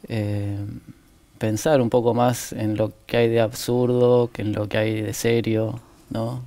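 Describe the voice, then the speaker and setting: A man talks at a very slow pace with monotone, flat intonation. His tone is dark and mellow. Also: medium pitch for a man. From Argentina. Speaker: novelist. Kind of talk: interview. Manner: hesitant, many fillers.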